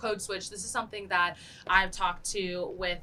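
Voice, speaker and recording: Fairly quick speech against noticeable background noise. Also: woman. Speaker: student podcast host. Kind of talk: interview.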